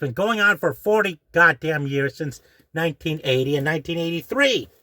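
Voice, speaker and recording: A man's fairly high voice has a bright, sharp tone and lively intonation, with a dry, close sound with no echo. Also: moderate pace. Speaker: YouTube commentator. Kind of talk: rant. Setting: in a closet at home. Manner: hushed, keeping voice down; agitated.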